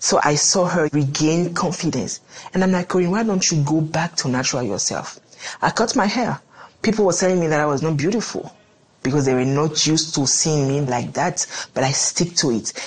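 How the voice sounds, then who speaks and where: A woman with a very deep, low pitch talks at a fairly quick pace with lively intonation and very even loudness over noticeable background noise. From Benin. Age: 30s. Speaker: entrepreneur. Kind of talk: interview.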